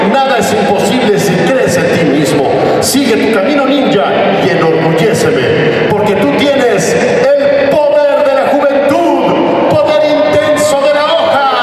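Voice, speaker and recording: Over loud background noise and audible room echo, a man speaks at a fairly slow pace. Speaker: voice actor guest at a fan convention. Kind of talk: stage talk to fans with character voice impressions. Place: stage. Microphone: camera far.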